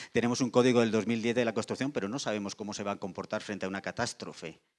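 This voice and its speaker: On a very clean recording with a silent background, a man talks very fast at a fairly low pitch with fairly even intonation. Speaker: insurance industry panelist. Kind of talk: panel discussion. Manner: halting with repetitions.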